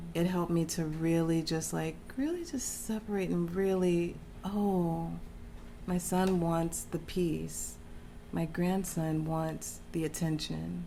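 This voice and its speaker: A woman with an American accent speaks very slowly at a fairly low pitch, her intonation fairly even and her loudness very even, with audible room echo. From Texas. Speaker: interview guest. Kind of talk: casual interview chat.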